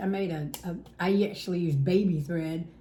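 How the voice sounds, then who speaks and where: Room echo is clearly audible. The woman's pitch varies in an ordinary way. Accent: American. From South Carolina. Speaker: cross-stitch video host. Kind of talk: casual chat.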